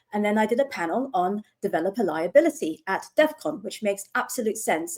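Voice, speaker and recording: At a fairly quick pace, a woman speaks in a fairly high, dark and mellow voice with lively intonation. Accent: British. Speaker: lawyer. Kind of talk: panel discussion.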